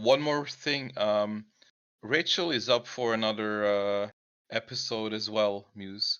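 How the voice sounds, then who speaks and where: Speaking with a non-native accent, a man has a fairly low pitch and ordinary pitch variation. His pace is very slow. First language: not English. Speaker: co-host of online creative hangout. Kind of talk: casual group video chat presentation. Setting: online voice chat on Discord. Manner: halting, many fillers and restarts.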